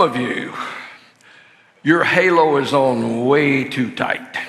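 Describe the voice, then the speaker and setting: Very slow speech from a man with a Southern US accent, with audible room echo and noticeable background noise. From US South, lower Alabama. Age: 70s. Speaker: marriage conference speaker. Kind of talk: sermon-style seminar talk. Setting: church. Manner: casual, halting with fillers.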